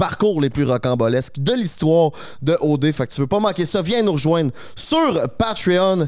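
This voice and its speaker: Against a quiet background, a man talks with a Quebec accent at a fairly high pitch. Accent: Québécois French. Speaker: podcast host. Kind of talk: casual chat. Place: studio. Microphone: handheld.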